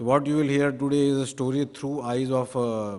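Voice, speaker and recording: A man speaks at a fairly quick pace with audible room echo around him. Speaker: steel industry expert speaker. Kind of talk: conference talk.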